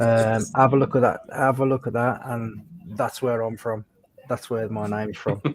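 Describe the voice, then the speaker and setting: A man in a West Midlands accent speaks at a moderate pace and medium pitch, his intonation monotone and flat. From England, just north of Birmingham. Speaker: British Army veteran, biker. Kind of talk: casual chat. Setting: livestream video call.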